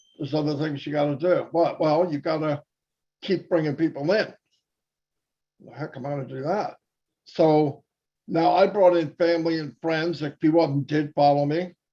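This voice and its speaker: With a dark, mellow tone and fairly high pitch, a man speaks at a moderate pace with fairly even intonation, big swings in loudness, and long, frequent pauses. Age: 60s. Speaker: network marketing presenter. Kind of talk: webinar presentation. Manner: casual, conversational.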